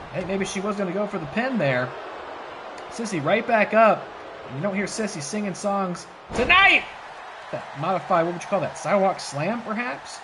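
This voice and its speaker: Excited-sounding speech at a moderate pace with long, frequent pauses, over noticeable background noise. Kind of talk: play-by-play wrestling commentary. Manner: excited, lively.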